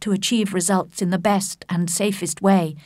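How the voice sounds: The speaker uses a natural reading voice.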